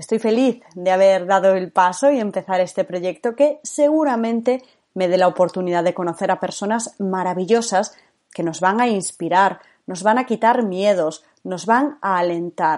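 An unremarkable speaking voice from a woman, medium in pitch, moderate in pace, with ordinary pitch variation. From Spain, Galicia. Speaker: podcast host, former radio presenter. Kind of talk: scripted narration.

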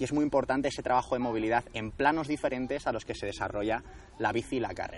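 Very fast male speech at medium pitch, intonation fairly even. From Spain, Madrid region (Alcalá de Henares). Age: 20s. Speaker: endurance sports coach. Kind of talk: interview. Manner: halting.

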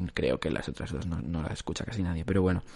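A man speaks in a very deep, low pitch with ordinary pitch variation. The background is quiet. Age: 20s. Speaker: podcast host. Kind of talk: casual chat. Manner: halting.

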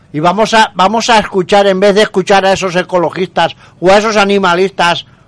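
A man is speaking. His pace is moderate. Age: 50s. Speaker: radio host. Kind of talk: radio talk show. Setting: radio studio. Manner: emphatic.

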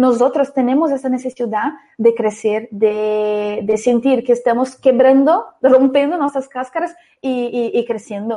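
A woman with a Brazilian accent, high pitch, a dark, mellow tone, fairly even intonation and a fairly slow pace. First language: Portuguese (speaking Spanish). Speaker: marketing entrepreneur. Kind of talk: interview.

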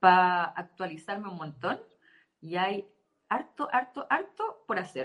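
A woman talks with lively intonation. She speaks in a Chilean accent. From southern Chile (Temuco). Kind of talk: casual interview.

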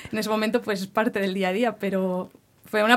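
Her pitch sits fairly high for a woman. She speaks in a monotone with flat intonation. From Barcelona, Catalonia, Spain. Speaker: campus ministry worker. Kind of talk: interview.

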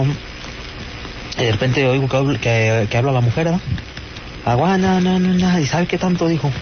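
Through noticeable background noise and audible room echo, a man speaks at a fairly quick pace with ordinary pitch variation. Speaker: caller. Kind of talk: phone call.

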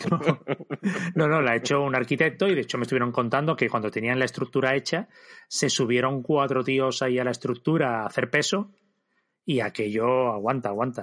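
A man with a medium pitch and a normal speaking voice talks at a fairly quick pace with ordinary pitch variation and very even loudness against a quiet background. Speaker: comics podcast host. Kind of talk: casual chat.

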